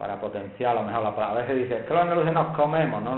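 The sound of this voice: A man speaks with ordinary pitch variation.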